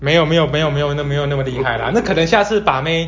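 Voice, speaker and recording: At a very fast pace, a man talks in a fairly high pitch with ordinary pitch variation. Noticeable background noise is present. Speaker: podcast host. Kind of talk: casual chat.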